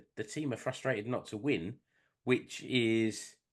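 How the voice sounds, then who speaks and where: A man's fairly even intonation at a very slow pace. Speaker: podcast co-host. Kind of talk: casual podcast talk.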